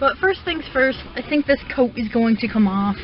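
Music plays in the background. A woman talks at a fairly high pitch. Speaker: vlogger. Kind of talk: casual vlog.

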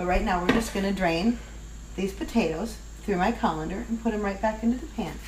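A woman's voice with noticeable background noise. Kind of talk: cooking tutorial. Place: kitchen. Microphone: camera far.

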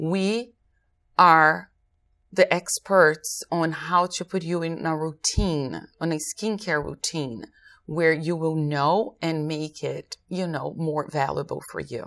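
Speaking very slowly, a woman uses a fairly low pitch with ordinary pitch variation. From Brazil. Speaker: aesthetician; guest. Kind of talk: interview. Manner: hesitant, many fillers. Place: studio. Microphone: lapel.

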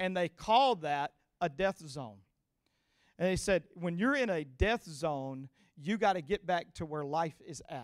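A man with a Louisiana accent speaks in an animated tone, his pitch high and his intonation lively. His pace is fairly slow and the background is quiet. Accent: Southern US, Louisiana. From US South, Louisiana (Cajun). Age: 40s. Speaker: guest preacher. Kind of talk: sermon. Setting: church with live audience. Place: stage. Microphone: handheld.

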